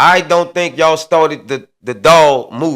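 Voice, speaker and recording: This is a man speaking. His tone is animated. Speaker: show host giving commentary. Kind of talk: casual monologue commentary.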